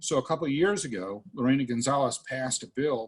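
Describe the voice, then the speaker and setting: Lively intonation from a man at a moderate pace, his medium-pitched voice somewhat breathy. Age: 60s. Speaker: politician. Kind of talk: town hall interview. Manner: animated.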